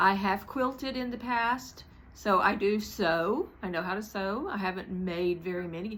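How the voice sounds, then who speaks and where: With an American accent, a woman speaks at a fairly slow pace in a medium pitch, her tone bright and sharp and her pitch variation ordinary. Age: 60s. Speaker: craft vlogger. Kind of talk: casual chat. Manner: rambling, many fillers.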